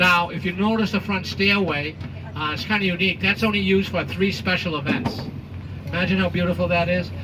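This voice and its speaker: Amid noticeable background noise and audible room echo, a man with a high pitch talks at a fairly quick pace, his pitch varying in an ordinary way. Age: 70s. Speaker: tour guide. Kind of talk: guided tour commentary with jokes. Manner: animated.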